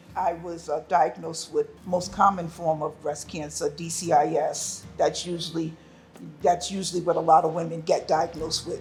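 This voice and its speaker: A woman with a fairly low pitch talks at a moderate pace, her intonation fairly even. Music plays in the background. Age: 60s. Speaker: breast cancer survivor. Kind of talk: personal testimony.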